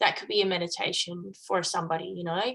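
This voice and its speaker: A woman with an Australian accent speaks at a moderate pace in a bright, sharp tone. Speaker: coach. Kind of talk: casual interview conversation.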